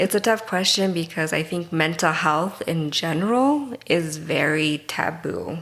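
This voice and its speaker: A woman's normal speaking voice with an American accent, fairly low in pitch, ordinary pitch variation, a fairly slow pace and hardly any pauses. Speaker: mental health counselor. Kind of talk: interview conversation.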